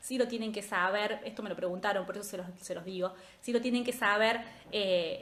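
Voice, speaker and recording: Here a woman talks at a moderate pace. Audible room echo surrounds her voice. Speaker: statistics tutor. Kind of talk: live review class. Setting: Instagram livestream. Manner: casual, chatty.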